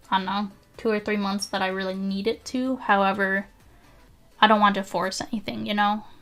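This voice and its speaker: Over music in the background, the speech runs at a fairly quick pace with fairly even intonation. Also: woman, medium pitch for a woman. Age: 20s. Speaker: day trader and streamer. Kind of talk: live stream chat while trading. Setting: live video stream with ring light. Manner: casual, hesitant with fillers.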